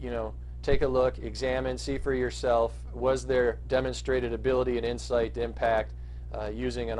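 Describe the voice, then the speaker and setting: The intonation is monotone and flat, and audible room echo fills the recording. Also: man. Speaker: marketing consultant. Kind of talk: business pitch monologue. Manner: fast; halting with many fillers.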